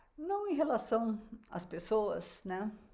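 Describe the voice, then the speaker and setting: A woman is speaking. Her tone sounds dark and mellow. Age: 70s. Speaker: physician and weight-loss coach. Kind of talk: online live class. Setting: livestream. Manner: casual, conversational.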